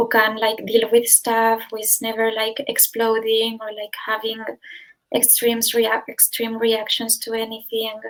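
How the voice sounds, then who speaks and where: Her pitch sits fairly high as this woman speaks at a fairly slow pace. Her intonation is monotone and flat. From northern Spain. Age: 20s. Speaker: interviewee sharing recovery story. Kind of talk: interview.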